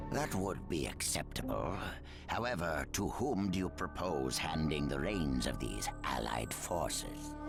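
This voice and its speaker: Over loud background music, a put-on character voice speaks at a moderate pace. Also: man, very deep, low pitch for a man. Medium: fan dub. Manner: calculating, blunt.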